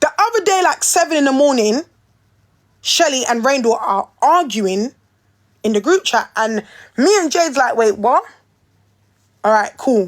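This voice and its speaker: Delivery is animated, with very wide pitch swings and very even loudness, in a London accent. The pace is moderate, broken by long, frequent pauses. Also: woman, high pitch for a woman. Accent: London Multicultural English. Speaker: reality TV personality. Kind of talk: casual chat.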